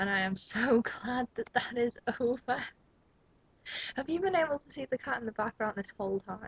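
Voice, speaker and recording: The speech has lively intonation and big swings in loudness at a moderate pace. Long, frequent pauses appear, and the sound is dry and close with no echo. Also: woman, high pitch for a woman. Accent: Liverpool. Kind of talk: casual vlog talk to camera.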